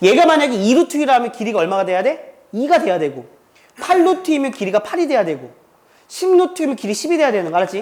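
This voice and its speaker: Very fast speech over noticeable background noise. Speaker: math teacher. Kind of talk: classroom lecture. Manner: speeds up when inspired; casual, interactive.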